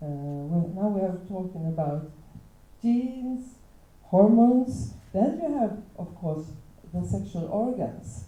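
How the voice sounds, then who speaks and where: A woman of medium pitch with a non-native accent talks at a very slow pace, with long, frequent pauses, a somewhat breathy voice, very wide pitch swings and audible room echo. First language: not English. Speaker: teacher. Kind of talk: panel talk. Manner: halting.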